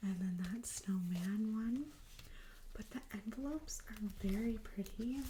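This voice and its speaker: A soft-spoken woman talks at a fairly slow pace, her fairly high voice somewhat breathy. Her tone is dark and mellow, with ordinary pitch variation. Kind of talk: ASMR thrift haul, casual talk to camera. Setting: home recording, close mic.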